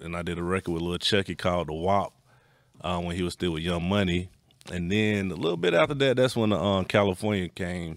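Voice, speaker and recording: With an Atlanta accent, a man talks at a fairly quick pace in a very deep, low pitch with ordinary pitch variation. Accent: Southern US, Atlanta. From US South, East Atlanta. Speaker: music producer. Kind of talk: casual chat.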